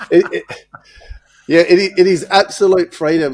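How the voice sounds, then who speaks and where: Recorded dry and close with no echo, a man with an Australian accent speaks at a fairly quick pace. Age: 50s. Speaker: podcast host, business coach. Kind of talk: interview conversation.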